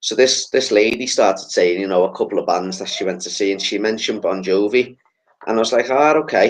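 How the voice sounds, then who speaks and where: A man with a Liverpool accent talks at a fairly quick pace. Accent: Scouse. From Liverpool, England. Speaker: podcast host. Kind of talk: casual chat.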